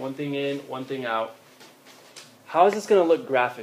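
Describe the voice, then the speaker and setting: There is noticeable background noise as a man speaks with lively intonation. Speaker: math teacher. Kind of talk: classroom lecture. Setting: classroom with students. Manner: fast.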